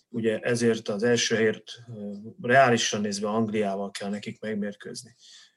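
A man talks at a fairly slow pace in a medium pitch. His intonation is fairly even, and his is an unremarkable speaking voice. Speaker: football-loving Polish studies expert. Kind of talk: casual chat.

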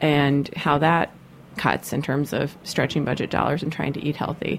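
With vocal fry and a very deep, low pitch, a woman speaks at a moderate pace. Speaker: radio host. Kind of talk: radio interview. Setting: studio. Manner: loud.

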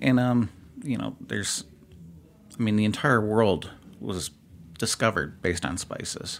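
A man with a Midwestern US accent and a fairly low pitch talks at a moderate pace with ordinary pitch variation, leaving long, frequent pauses. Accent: US Midwest. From Southeast Michigan. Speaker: barbecue competitor. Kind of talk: casual chat.

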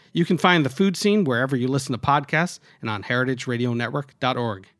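Talking at a fairly quick pace with lively intonation, a man uses an ordinary speaking voice. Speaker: network announcer. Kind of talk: promo announcement.

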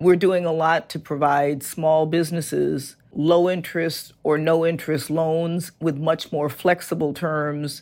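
A woman with an American accent, very deep and low in pitch, flat and monotone, at a fairly slow pace, on a very clean recording with a silent background. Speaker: physician and foundation executive. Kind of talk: interview.

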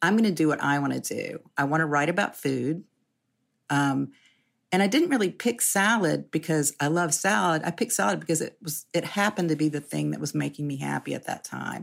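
With vocal fry and a very deep, low pitch, a woman talks at a fairly quick pace with lively intonation in a very clean recording with a silent background. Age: 60s. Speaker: journalist and food writer. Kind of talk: interview conversation. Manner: halting.

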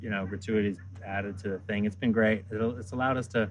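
A man talks in a plain, everyday voice at a fairly quick pace. His pitch is fairly low and his intonation fairly even. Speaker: chef at culinary institute. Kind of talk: casual interview chat.

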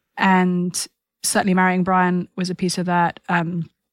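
A woman at a fairly slow pace, fairly low in pitch, with monotone, flat intonation. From UK. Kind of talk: podcast interview.

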